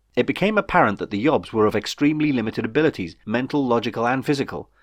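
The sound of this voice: Speaking quickly, a man keeps his pitch varying in an ordinary way.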